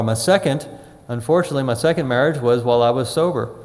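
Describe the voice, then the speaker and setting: A man's medium-pitched voice. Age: 60s. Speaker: recovery workshop speaker. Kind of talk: workshop talk. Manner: halting.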